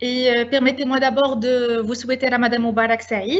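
A woman speaks in a high-pitched voice. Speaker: campus director. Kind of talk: formal introduction. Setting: video call. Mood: warm, welcoming. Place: home room. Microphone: video call.

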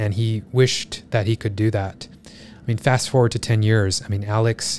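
Over music in the background, a man talks at a moderate pace in a fairly low, monotone, flat voice, with a dry sound and no echo. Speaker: podcast guest. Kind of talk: interview answer. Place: studio. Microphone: studio mic.

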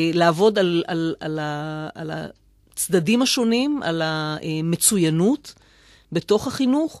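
A woman's lively, fairly slow delivery, with a dry, echo-free sound against a quiet background. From Israel, Rishon LeZion; Israel. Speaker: mayor. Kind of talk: radio interview. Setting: studio. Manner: halting. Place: studio.

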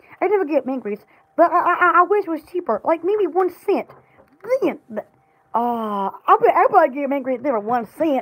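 A woman's fairly quick delivery with very wide swings in pitch. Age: young. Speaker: livestreamer and small shop owner; vlogger. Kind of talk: casual live stream chat. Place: home room. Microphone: phone near.

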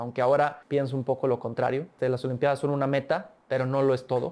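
Over light background noise, a man with a fairly high pitch speaks very fast. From Mexico, San Luis Potosí. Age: 20s. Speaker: olympic swimmer; interviewee. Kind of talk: interview. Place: studio. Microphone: lapel.

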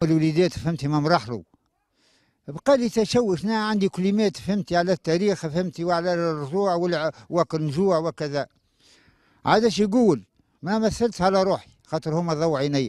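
A man speaks at a high pitch with ordinary pitch variation. The recording is very clean, with a silent background and a dry, close sound free of echo. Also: moderate pace. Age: 70s. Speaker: elderly villager, father of victims. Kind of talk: testimony.

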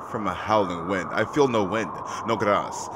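A man talks at a moderate pace while noticeable background noise runs underneath. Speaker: gaming streamer. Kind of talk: let's play commentary. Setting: home, playing in the dark. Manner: animated. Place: home room.

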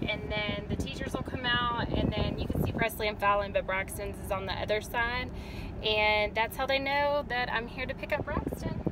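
A woman in a dry sound with no echo, over loud background noise. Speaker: mother vlogger. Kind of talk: casual vlog chat. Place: car. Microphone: phone near.

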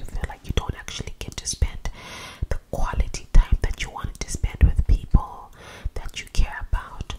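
A woman whispers in a calm, soft-spoken way at a moderate pace, with noticeable background noise behind her. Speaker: video creator. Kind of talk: casual advice talk to camera. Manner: soft close-mic whisper, calm. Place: home room. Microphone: studio mic.

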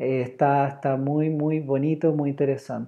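Over a quiet background, a man speaks at a fairly slow pace. His voice is pitched fairly high. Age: 30s. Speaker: drawing teacher. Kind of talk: online class. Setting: live stream. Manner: animated. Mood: warm, encouraging. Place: home room. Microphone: earbuds.

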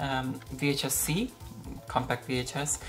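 Clear music plays in the background as a woman speaks with a very deep, low pitch and fairly even intonation. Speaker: retro tech video host. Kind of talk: casual product show-and-tell. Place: home room.

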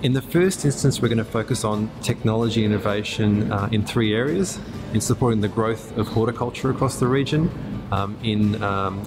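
With clear music in the background, a man talks at a fairly quick pace with ordinary pitch variation. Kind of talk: interview answer. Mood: calm, positive. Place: workshop.

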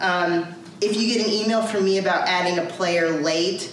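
Light background noise and audible room echo surround a woman who speaks at a moderate pace with ordinary pitch variation. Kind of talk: informational briefing. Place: office. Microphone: camera far.

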